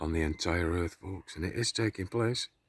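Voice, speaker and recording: A quiet, somewhat breathy man at a moderate pace, ordinary pitch variation, dry, close sound with no echo. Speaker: conspiracy vlogger. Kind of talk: casual monologue to camera. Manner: quiet, kept low.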